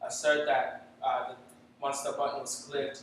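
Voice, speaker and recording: A man with a non-native accent speaks at a moderate pace and a fairly high pitch. His intonation is monotone and flat, and audible room echo surrounds him. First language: not English. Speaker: software developer. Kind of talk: tech talk presentation. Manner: halting, many fillers.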